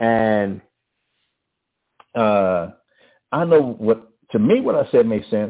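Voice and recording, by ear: With a Southern US accent, a man talks slowly in a fairly low voice, his intonation lively.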